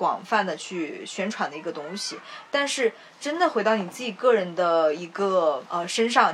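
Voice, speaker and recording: Lively intonation carries the voice along at a moderate pace over noticeable background noise. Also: woman. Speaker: podcast co-host. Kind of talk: casual chat.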